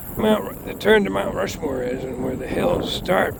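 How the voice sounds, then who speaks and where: A man with an American accent speaks at a fairly slow pace. Noticeable background noise runs behind him. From Boston area, Massachusetts. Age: 60s. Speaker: railfan. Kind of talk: casual narration while filming trains. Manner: hesitant, many fillers.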